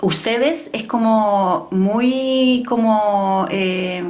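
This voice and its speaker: A woman speaks with ordinary pitch variation. Noticeable background noise and audible room echo fill the recording. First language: French (speaking Spanish). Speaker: podcast guest, raised in a diplomatic family. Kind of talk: personal interview testimony. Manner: reflective, conversational.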